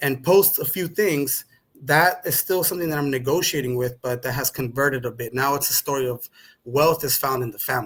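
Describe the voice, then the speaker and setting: The voice is somewhat breathy, with a Spanish accent. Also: man. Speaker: podcast guest. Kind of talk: conversational interview.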